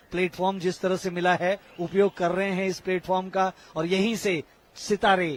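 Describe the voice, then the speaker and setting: A man's high-pitched voice in a dry, close sound with no echo, plus noticeable background noise. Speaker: sports commentator. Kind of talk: live sports commentary. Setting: stadium, live event.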